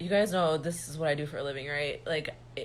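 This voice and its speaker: Audible room echo surrounds this speech. The woman's pitch is very deep and low. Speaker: reiki healer and spiritual teacher. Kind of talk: livestream monologue. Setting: livestream. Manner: serious, no mirth in tone.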